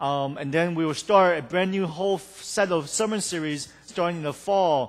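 In front of a quiet background, a man speaks at a high pitch with ordinary pitch variation. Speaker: pastor. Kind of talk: sermon. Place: church.

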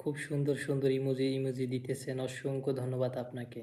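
A man speaks at a medium pitch. His intonation stays monotone and flat. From Bangladesh, Barisal. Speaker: migrant worker live-streamer. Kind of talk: casual live stream chat with viewers.

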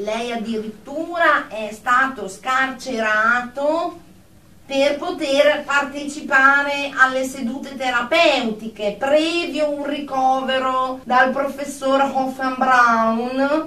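Using a put-on character voice, a woman speaks slowly at a high pitch in a bright, sharp tone, with ordinary pitch variation and audible room echo.

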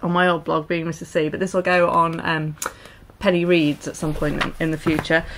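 Over noticeable background noise, a woman with a fairly low pitch speaks at a moderate pace in a monotone, flat way. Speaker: vlogger. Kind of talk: casual vlog chat. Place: home room. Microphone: camera far.

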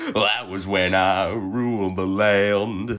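A man puts on a character voice at a fairly low pitch. He speaks at a very slow pace with monotone, flat intonation. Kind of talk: comic overacting. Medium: short film.

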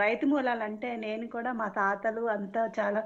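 Her pitch is medium. This woman delivers her words with monotone, flat intonation. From Andhra Pradesh (Palakollu, West Godavari). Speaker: caller. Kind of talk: casual chat.

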